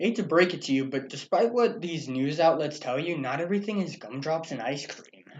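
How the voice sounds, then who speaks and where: Talking fairly quickly with hardly any pauses, a man uses an ordinary speaking voice, fairly high in pitch, with lively intonation. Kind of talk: satirical newscast co-host, comedic banter.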